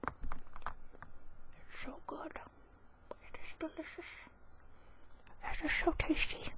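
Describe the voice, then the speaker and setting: Whispering at a very slow pace, a woman leaves long, frequent pauses, and her loudness rises and falls a lot. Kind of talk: ASMR casual talk to camera. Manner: soft-spoken, whispering.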